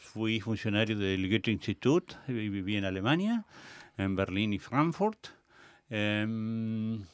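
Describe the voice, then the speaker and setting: A man with an unremarkable speaking voice. His pitch sits fairly low, with ordinary variation. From Argentina. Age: 60s. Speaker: theatre director and cultural manager. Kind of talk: interview. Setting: radio studio.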